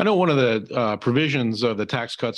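A man talks in a plain, everyday voice. The background is quiet. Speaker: financial advisor. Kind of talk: interview discussion. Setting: video webinar.

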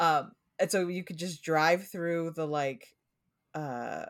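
A woman speaks slowly at a low pitch, with a Pacific Northwest accent and ordinary pitch variation. The recording is very clean, with a silent background. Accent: American, Pacific Northwest.

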